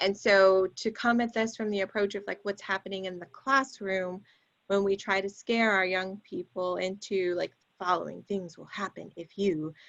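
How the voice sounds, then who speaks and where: Speaking at a moderate pace, a woman uses a plain, everyday voice with medium pitch and fairly even intonation. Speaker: public health sex educator. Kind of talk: panel discussion.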